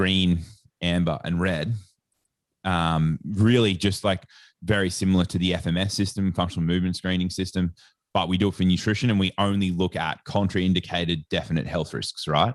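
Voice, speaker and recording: In an Australian accent, a man with a very deep, low pitch speaks at a moderate pace. His intonation stays fairly even against a quiet background. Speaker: sports nutritionist and educator. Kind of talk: podcast interview. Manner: casual, filler-heavy.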